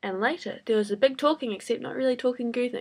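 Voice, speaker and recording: A woman with a southern New Zealand accent speaks at a high pitch. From New Zealand, Invercargill. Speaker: vlogger. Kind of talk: casual vlog monologue. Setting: bedroom.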